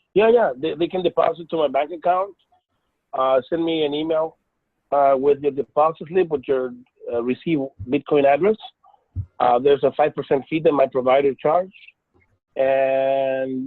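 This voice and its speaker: With an American accent, a man talks at a moderate pace and a fairly high pitch, using ordinary pitch variation and long, frequent pauses. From California. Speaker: network marketer. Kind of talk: sales pitch. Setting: video call. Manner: halting.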